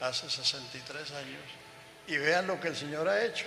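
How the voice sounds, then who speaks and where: Music plays in the background while a man talks at a fairly slow pace. His pitch is fairly high with ordinary variation, and there is audible room echo. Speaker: elderly pastor and missionary. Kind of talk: onstage interview.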